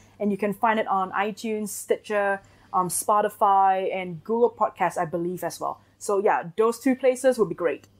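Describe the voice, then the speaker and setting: A woman speaks with a Singaporean accent and ordinary pitch variation. The recording is very clean, with a silent background. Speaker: marketing agency owner. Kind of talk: interview.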